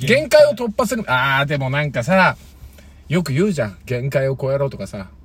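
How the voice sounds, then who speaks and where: Somewhat breathy and animated, a man talks at a fairly quick pace with a fairly high pitch and lively intonation. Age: 30s. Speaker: former comedian, podcast co-host. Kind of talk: casual chat.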